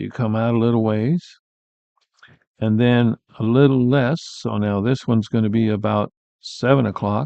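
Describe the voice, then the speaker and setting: A medium-pitched man with fairly even intonation speaks at a moderate pace, with long, frequent pauses. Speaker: art teacher. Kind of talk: live painting tutorial.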